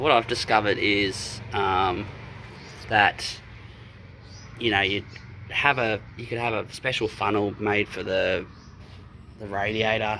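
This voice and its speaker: A man with an Australian accent speaks at a fairly slow pace, his fairly low pitch kept in fairly even intonation. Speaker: car DIY enthusiast. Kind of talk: casual DIY talk to camera. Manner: rambling, casual.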